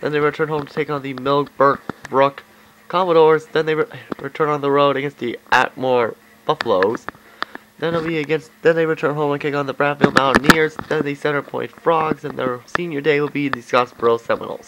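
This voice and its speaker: Against noticeable background noise, a man speaks at a fairly quick pace with a fairly high pitch and fairly even intonation. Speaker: video game commentator. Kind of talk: gameplay commentary. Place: home room. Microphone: phone near.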